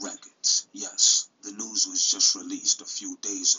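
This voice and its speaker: A man talks in a New York accent. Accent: New York City. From Brooklyn, New York City. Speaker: YouTube commentary host. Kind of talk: casual commentary video.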